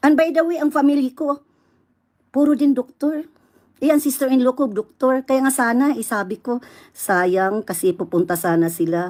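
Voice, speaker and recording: With a Visayan accent, a woman speaks at a high pitch and moderate pace with very wide pitch swings on a very clean recording with a silent background. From Visayas, Philippines. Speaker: vlogger. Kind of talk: angry rant. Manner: loud, combative.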